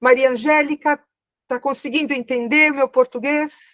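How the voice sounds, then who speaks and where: A woman speaks with lively intonation at a high pitch. The sound is dry and close, with no echo. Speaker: spiritual therapy teacher. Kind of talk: online class Q&A. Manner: slow, deliberate.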